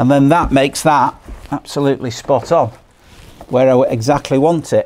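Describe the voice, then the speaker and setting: A man with a fairly high voice speaks at a moderate pace, keeping his loudness very even and his intonation fairly even. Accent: strong Lancashire. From Lancashire, northern England. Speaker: boat restorer. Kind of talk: tutorial. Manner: casual.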